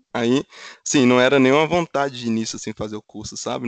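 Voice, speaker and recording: A man with a Minas Gerais accent at a very fast pace, dry and close with no echo, over a quiet background. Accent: mineiro Brazilian Portuguese. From Minas Gerais, Brazil (Funilândia). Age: 30s. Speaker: automotive engineer. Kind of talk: casual interview chat.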